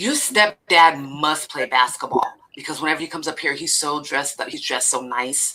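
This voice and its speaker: Over noticeable background noise, a woman with a very deep, low voice talks at a fairly quick pace in an animated tone with ordinary pitch variation. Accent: American. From Northern California (Elk Grove). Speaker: podcast host. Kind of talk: casual chat.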